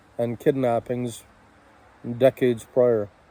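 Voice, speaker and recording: A man speaks with a dark, mellow tone at a medium pitch. His intonation is monotone and flat. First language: French. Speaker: political commentator. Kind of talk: monologue.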